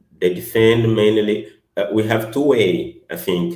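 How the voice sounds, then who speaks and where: A man with a non-native accent speaks at a very slow pace, his pitch varying in an ordinary way. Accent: non-native English speaker. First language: not English. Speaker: academic presenter. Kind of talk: academic workshop presentation and discussion. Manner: halting, many hesitations.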